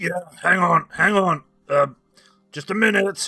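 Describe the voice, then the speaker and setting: A man puts on a gruff, raspy character voice pitched high. He delivers it at a fairly slow pace. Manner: impatient, distracted.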